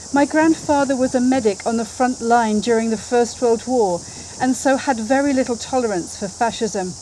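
Against light background noise, a woman speaks at a moderate pace in a high pitch, with ordinary pitch variation and very even loudness. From Jersey, Channel Islands. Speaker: politician. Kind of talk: memorial speech. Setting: outdoors. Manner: formal. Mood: solemn, earnest. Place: garden. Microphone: podium.

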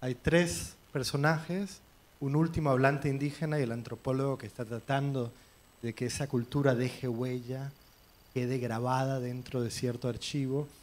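The speaker is a man with a moderate delivery speed. His pitch doesn't rise or fall much. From Puerto Rico. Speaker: novelist; panel author. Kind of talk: literary panel discussion. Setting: library event with audience. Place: hall.

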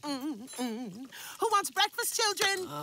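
A put-on character voice, female-sounding and high in pitch, with very wide pitch swings. The tone is warm. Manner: warm, doting.

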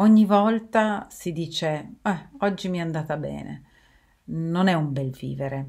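Against a quiet background, a woman speaks at a fairly slow pace. Her pitch is fairly low, with ordinary variation. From Turin, northern Italy; northern Italy. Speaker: video blogger. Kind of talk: monologue to camera. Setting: recorded video while travelling. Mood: calm, serious. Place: home room. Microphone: webcam.

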